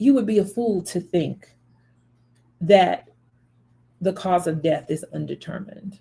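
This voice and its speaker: The voice has a dark, mellow tone with vocal fry, moving at a fairly slow pace with ordinary pitch variation and long, frequent pauses. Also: woman, medium pitch for a woman. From US South, Memphis, Tennessee. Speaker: spiritual reader and channel host. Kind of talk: commentary monologue on a death case. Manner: animated.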